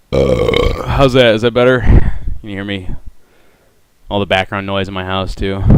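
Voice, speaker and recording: Mumbling at a moderate pace, a man uses a fairly low pitch and lively intonation. Long pauses come often in his speech. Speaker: audio designer streaming a demo. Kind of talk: live stream tutorial. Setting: home live stream. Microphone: voice cutting out from noise gate.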